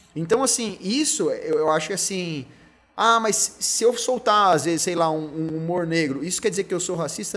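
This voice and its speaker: This man's pitch is high and varies in an ordinary way. His pace is moderate. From São José dos Campos, São Paulo state, Brazil. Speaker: beer content creator and lawyer. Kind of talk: casual interview chat.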